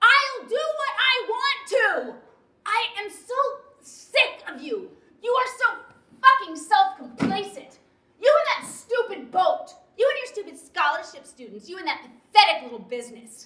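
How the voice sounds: A woman uses a put-on character voice at an extremely high pitch, with big pitch swings, a bright, sharp tone, a fairly slow pace and audible room echo.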